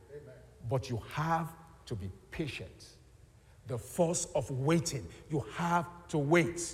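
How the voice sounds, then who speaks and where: At a very slow pace, with long, frequent pauses, a man talks in a fairly high pitch with vocal fry. His intonation is lively and his loudness swings widely. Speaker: preacher. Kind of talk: sermon. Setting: church.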